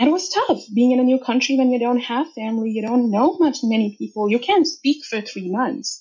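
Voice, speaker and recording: A woman's voice comes out somewhat breathy. She talks at a moderate pace, and her intonation is lively. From India. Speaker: data consultant. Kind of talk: interview.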